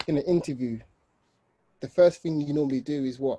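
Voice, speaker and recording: A man's fairly high pitch and dark, mellow tone, with ordinary pitch variation at a moderate pace, in a dry, close sound with no echo. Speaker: webinar speaker with a stammer. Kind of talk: personal testimony. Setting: webinar video call. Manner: controlled, sometimes mechanical speech.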